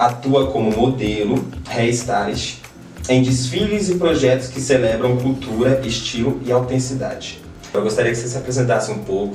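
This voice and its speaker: Music in the background and audible room echo surround a man speaking at a medium pitch and moderate pace with ordinary pitch variation. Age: 30s. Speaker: podcast host. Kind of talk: interview.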